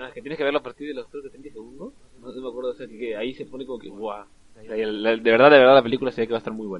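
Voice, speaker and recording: A man talks at a very fast pace and medium pitch. His intonation stays fairly even while his loudness swings widely. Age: 20s. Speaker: film podcast co-host. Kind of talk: casual chat.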